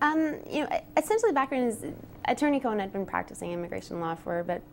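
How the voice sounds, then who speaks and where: Very fast pace with lively intonation. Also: woman. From Ontario, Canada (Whitby, Durham Region). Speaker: marketing manager, interview guest. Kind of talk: TV interview.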